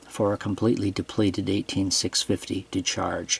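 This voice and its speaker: Over noticeable background noise, a man speaks with a fairly low pitch in a dry, close sound with no echo. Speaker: flashlight reviewer. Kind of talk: product review tutorial. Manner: hesitant, many fillers.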